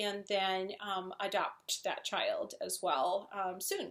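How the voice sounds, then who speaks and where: Speaking at a very slow pace, a woman with a Wisconsin accent has a bright, sharp tone. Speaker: software project manager and translator. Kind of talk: casual talk to camera.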